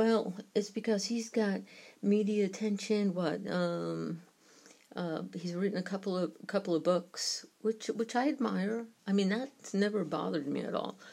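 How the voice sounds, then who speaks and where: Dark and mellow in tone, the voice has a New York accent, a moderate pace and ordinary pitch variation. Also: woman, medium pitch for a woman. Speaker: podcaster on UFO topics. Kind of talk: solo podcast commentary.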